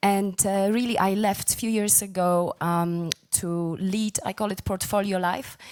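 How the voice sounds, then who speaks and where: A woman speaks with a Polish accent at a medium pitch. Her intonation is fairly even, and the recording is very clean with a silent background. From Poland. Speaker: former banker and film producer. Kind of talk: panel discussion.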